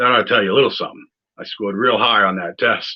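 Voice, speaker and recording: A man speaks with a New England accent. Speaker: political candidate. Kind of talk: campaign video monologue. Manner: rambling, hesitant with fillers.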